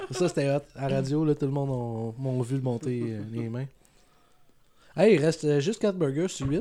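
Speaking at a fairly slow pace with a Quebec accent, a man leaves long, frequent pauses. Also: ordinary pitch variation. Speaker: vlogger. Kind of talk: casual chat.

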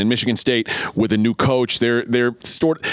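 A man with an American accent speaks at a fairly quick pace and medium pitch. Noticeable background noise runs underneath. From Texas. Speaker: college football betting expert. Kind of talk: sports radio talk. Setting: studio.

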